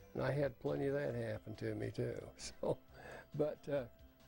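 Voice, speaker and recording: At a moderate pace, a man with an American accent talks while music plays in the background. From Utah. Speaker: retired farmer and veteran. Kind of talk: oral history interview. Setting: home recording. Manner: casual, hesitant with fillers.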